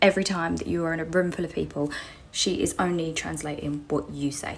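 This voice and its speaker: In a British accent, a woman talks at a fairly quick pace with a fairly low pitch, vocal fry and fairly even intonation. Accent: British, described as common. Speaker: storyteller on social media. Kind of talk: casual storytelling. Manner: fast.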